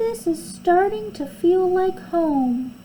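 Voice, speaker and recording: A woman uses a put-on character voice, high-pitched and gentle in tone, with very wide pitch swings. She speaks at a very slow pace over clear background noise. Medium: read story. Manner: soft, gentle.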